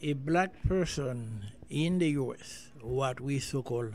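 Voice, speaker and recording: A man's medium-pitched voice, somewhat breathy, moves with ordinary pitch variation. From Haiti. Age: 70s. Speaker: immigrant interviewee. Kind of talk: interview.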